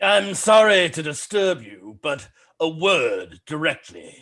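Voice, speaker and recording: A man uses a put-on character voice at a high pitch. He speaks at a fairly slow pace over a quiet background. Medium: stage play. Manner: hushed and urgent.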